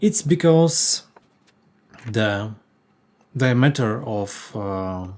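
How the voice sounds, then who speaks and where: Speaking very slowly with long, frequent pauses, a man with a Polish accent and a medium pitch uses lively intonation. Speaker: woodworker. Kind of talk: workshop tutorial. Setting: workshop. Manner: halting, many fillers.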